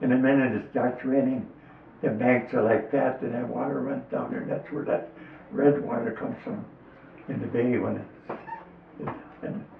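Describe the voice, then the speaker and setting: A speaker with an American accent talks at a moderate pace, leaving long, frequent pauses. Noticeable background noise runs underneath. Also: man. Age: 80s+. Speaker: lifelong local fisherman. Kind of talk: interview answer, reminiscing.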